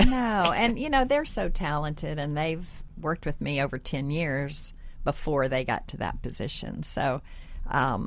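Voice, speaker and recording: A woman speaks fairly slowly in a very deep, low voice. Her pitch swings very widely. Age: 60s. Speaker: interior designer. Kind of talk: podcast interview. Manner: hesitant, many fillers.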